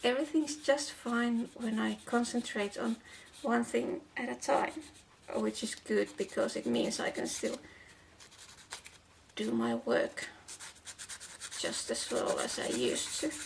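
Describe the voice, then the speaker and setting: A woman with a non-native accent at a fairly slow pace, with long, frequent pauses and noticeable background noise. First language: not English. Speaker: doll shoe crafter and translator. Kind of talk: tutorial with personal talk. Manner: halting, repeats words.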